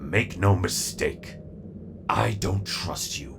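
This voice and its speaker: Over clear background noise, a man puts on a character voice at a very deep, low pitch. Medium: audio drama. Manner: menacing, stern.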